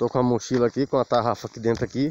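Words come out at a very fast pace in a dry sound with no echo. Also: man. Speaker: fishing vlogger. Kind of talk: casual vlog chat. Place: open country. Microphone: phone near.

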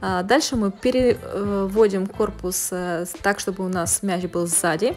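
The speaker talks at a fairly slow pace while faint music plays in the background. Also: woman. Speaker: fitness instructor. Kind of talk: tutorial. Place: gym.

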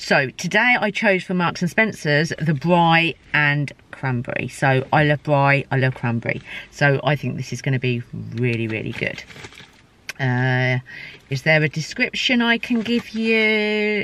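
A woman with a very deep, low pitch and very wide pitch swings speaks at a fairly slow pace, the sound dry with no echo and light noise behind her. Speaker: food vlogger. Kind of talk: casual vlog chat. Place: car. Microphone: phone near.

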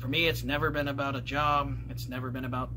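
A man speaks over noticeable background noise. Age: 30s. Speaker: gaming YouTuber; game collector vlogger. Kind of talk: casual vlog monologue; casual vlog chat. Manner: hesitant, filler-heavy. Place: home room. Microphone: phone near.

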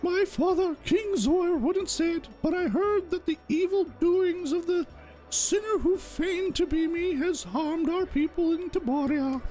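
This put-on character voice sits at an extremely high pitch and moves at a moderate pace. Clear background noise is audible. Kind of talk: improvised game-dialogue voice. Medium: virtual streamer. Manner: formal, earnest, apologetic.

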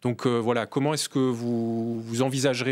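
Flat, monotone delivery from a man, mid-range in pitch and fairly brisk in tempo. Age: young. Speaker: member of parliament. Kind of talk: political debate. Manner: halting.

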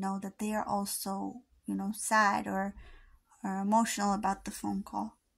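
A woman's somewhat breathy voice comes through with a quiet background. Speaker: intuitive charm reader. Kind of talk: casual reading commentary. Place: home room.

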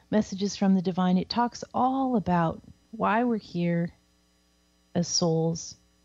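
A woman with a General American accent speaks at a fairly slow pace, somewhat breathy, in a dark, mellow tone. The sound is dry and close with no echo, against a quiet background. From US Pacific Northwest. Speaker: psychic and spiritual teacher. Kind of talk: casual talk show with live readings. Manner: casual and chatty.

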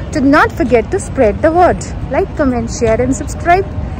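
A woman talks at a moderate pace, the sound dry with no echo and noticeable background noise present. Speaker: vlogger. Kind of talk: casual vlog chat. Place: hall. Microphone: phone near.

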